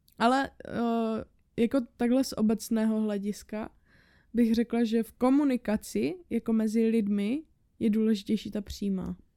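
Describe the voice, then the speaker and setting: A woman's fairly high-pitched voice has a dark, mellow tone, fairly even intonation and a moderate pace. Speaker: podcast co-host. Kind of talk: casual chat. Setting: home studio.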